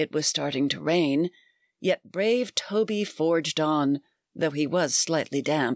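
A woman with a very deep, low pitch delivers her lines in a dramatic tone at a fairly slow pace, her pitch varying an ordinary amount. The sound is dry and close with no echo, over a quiet background. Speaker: podcast host and author. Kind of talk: reading aloud a rhyming verse story, bedtime story telling. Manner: storyteller's lilting, sing-song rhythm with dramatic, expressive character voices.

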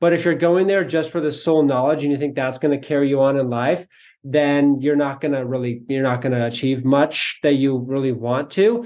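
A man with a plain, everyday voice talks at a fairly quick pace and a fairly high pitch against a quiet background. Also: ordinary pitch variation, hardly any pauses. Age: 20s. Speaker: real estate investor. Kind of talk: interview.

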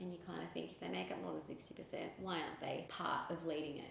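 Speaking with an Australian accent, a woman has a fairly low pitch. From Sydney, Australia. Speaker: charity founder and communications director. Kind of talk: interview.

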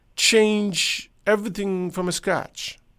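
In a very clean recording with a silent background, a man with a Persian accent speaks at a high pitch. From Iran. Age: 60s. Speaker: podcaster. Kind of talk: casual monologue. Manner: halting.

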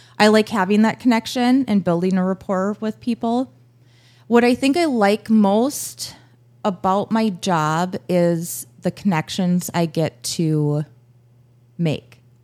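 Speaking in an American accent, a woman uses a medium pitch and lively intonation at a very slow pace. The recording is very clean with a silent background and a dry, close sound with no echo. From Minnesota, Buffalo. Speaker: newspaper advertising salesperson. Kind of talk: casual interview.

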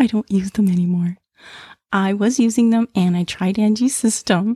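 A woman with a fairly high pitch sounds somewhat breathy at a moderate pace. The sound is dry and close with no echo. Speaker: podcast co-host, charm collector. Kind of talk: casual chat.

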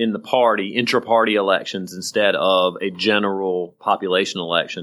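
This man has an American accent and a normal speaking voice. He keeps a moderate pace with ordinary pitch variation. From rural South Carolina. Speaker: podcast co-host, former politician. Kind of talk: casual political chat.

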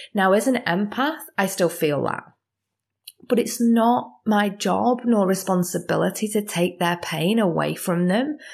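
Recorded very cleanly against a silent background, a woman of medium pitch speaks fairly slowly with vocal fry, very even loudness and ordinary pitch variation. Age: 30s. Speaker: spiritual life coach and energy healer. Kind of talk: solo podcast monologue. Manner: animated.

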